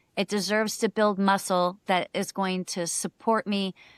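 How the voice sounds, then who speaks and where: On a very clean recording with a silent background, a woman with an unremarkable speaking voice talks at medium pitch with fairly even intonation. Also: dry, close sound with no echo. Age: 50s. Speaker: personal trainer and bodybuilder. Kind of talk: podcast interview.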